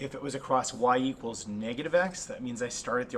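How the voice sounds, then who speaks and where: A man at medium pitch and a fairly quick pace, with ordinary pitch variation and noticeable background noise. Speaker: math teacher. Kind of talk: tutorial.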